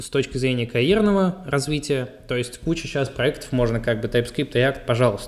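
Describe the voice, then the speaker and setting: A man speaks in a plain, everyday voice with ordinary pitch variation. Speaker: podcast co-host and frontend developer.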